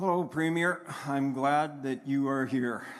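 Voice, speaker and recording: In a western Canadian accent, a man of medium pitch talks at a fairly slow pace with fairly even intonation, and room echo is audible. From northern Alberta, Canada. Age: 60s. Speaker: farmer rancher, town hall audience member. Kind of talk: public comment at a town hall. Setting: town hall with audience, microphone.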